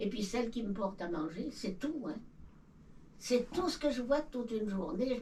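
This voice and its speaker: With a fairly high pitch and lively intonation, a woman talks at a moderate pace, her voice carrying audible room echo over noticeable background noise. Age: 90s. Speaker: elderly villager. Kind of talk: casual chat. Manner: halting.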